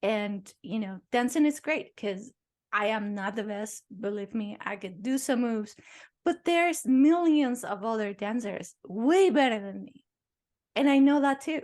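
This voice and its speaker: Speaking at a fairly slow pace with a non-native accent, a woman with a fairly high pitch uses lively intonation and big swings in loudness against a quiet background. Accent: noticeable foreign. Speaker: podcast host, dancer and author. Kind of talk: casual chat.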